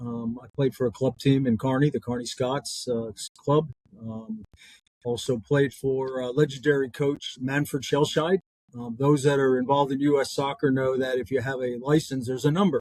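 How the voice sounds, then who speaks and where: Here a man with an American accent talks at a medium pitch and a moderate pace. His intonation is fairly even, and the sound is dry and close with no echo. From northern New Jersey, US. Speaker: former pro soccer player and college coach. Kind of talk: interview.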